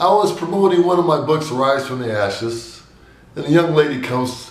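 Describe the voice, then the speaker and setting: With lively intonation and a moderate pace, a man talks in a room with audible echo while noticeable background noise carries on. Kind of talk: devotional message with personal stories.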